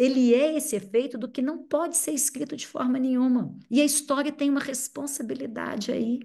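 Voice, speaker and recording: Against a quiet background, a woman with a Minas Gerais accent talks at a moderate pace in a high pitch. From Brazil, Minas Gerais. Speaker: psychoanalyst. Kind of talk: seminar talk.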